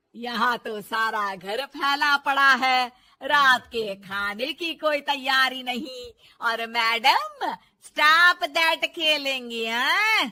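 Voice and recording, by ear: In a cartoonish character voice, a woman speaks high in pitch with a bright, sharp tone and lively intonation, at a very slow pace with few pauses.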